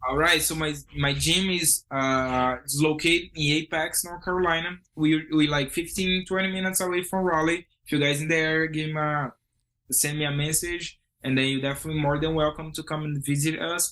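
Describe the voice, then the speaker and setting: Over a quiet background, a man with a strong Brazilian accent talks at a moderate pace in a bright, sharp voice of fairly high pitch. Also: fairly even intonation. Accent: heavy Brazilian Portuguese. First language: Portuguese. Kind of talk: interview.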